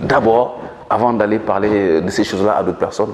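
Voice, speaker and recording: A man talks at a moderate pace with a Senegalese accent. Noticeable background noise sits behind him. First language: Manjak (speaking French). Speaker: author and politician. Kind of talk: interview. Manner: hesitant with fillers.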